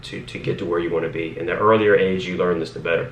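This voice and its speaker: Audible room echo fills the space. In it, a man talks at a fairly quick pace. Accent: American. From Northern Virginia, US. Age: 20s. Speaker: police officer and lifestyle vlogger. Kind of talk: casual vlog monologue. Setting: home office, talking to camera. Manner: rambling, filler-heavy.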